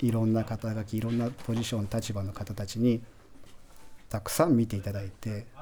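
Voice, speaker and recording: A man speaks at a moderate pace in a medium pitch. His tone is dark and mellow, with flat, monotone intonation. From Japan, Aichi (Toyohashi). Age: 40s. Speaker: chocolate company founder. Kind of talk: radio interview. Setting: radio studio.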